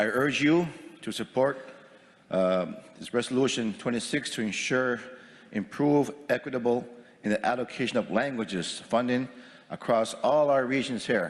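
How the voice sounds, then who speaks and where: In a Maritime Canadian accent, a man talks at a moderate pace. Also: medium pitch for a man, ordinary pitch variation. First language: Mi'kmaq. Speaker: First Nations chief. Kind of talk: formal assembly speech. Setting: assembly floor microphone with interpretation booths.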